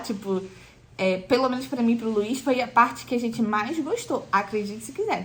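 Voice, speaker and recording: A woman speaks over noticeable background noise. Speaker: pregnant vlogger. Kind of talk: casual vlog talk. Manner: hesitant, many fillers.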